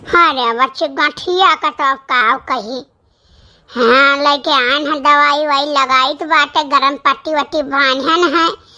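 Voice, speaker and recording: A woman speaks at a fairly slow pace in a cartoonish character voice. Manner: affectionate, fretful.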